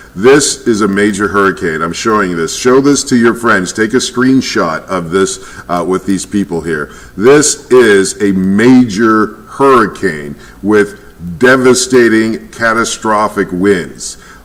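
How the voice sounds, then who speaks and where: Someone with an American accent talks at a fairly slow pace with ordinary pitch variation, and there is noticeable background noise. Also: man, fairly low pitch for a man. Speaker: weather reporter. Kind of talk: live weather commentary.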